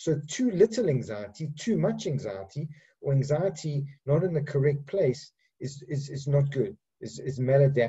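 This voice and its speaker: This man talks fairly high in pitch, his voice somewhat breathy. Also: lively intonation, moderate pace. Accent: African. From Africa. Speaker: psychiatrist. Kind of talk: lecture. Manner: halting, many repetitions and fillers.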